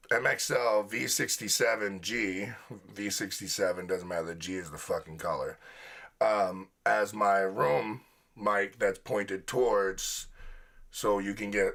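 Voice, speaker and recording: In a very clean recording with a silent background, a man speaks at a fairly slow pace. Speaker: music producer and livestream reviewer. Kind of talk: live music review stream. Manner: casual, halting with fillers. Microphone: studio condenser room mic and boom vocal mic.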